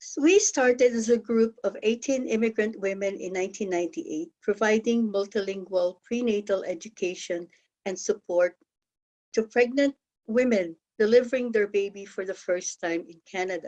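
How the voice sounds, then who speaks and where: A woman's fairly high, dark, mellow voice in a Filipino accent, at a moderate pace, with ordinary pitch variation and big swings in loudness. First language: Tagalog. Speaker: health co-op member and presenter. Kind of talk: conference presentation.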